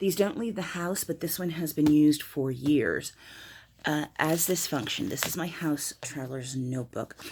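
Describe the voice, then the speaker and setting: A woman mumbles at a moderate pace, her very deep, low voice showing ordinary pitch variation. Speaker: planner and notebook video maker. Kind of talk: casual show-and-tell video. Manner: mumbling.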